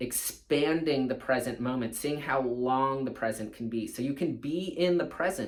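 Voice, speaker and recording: Here is an ordinary speaking voice from a man with an American accent. His pitch varies in an ordinary way. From California. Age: 40s. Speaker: surf coach. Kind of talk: casual talk to camera.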